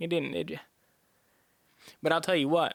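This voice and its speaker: The man talks with a Southern US accent and a high pitch. His recording is very clean, the background silent. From US South. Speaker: podcast host. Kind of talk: monologue podcast.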